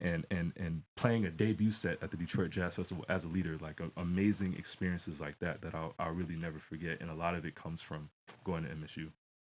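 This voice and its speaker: Very deep and low, a man's voice moves at a fairly quick pace with fairly even intonation on a very clean recording with a silent background. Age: 20s. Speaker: jazz musician and student. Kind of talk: interview. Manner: halting.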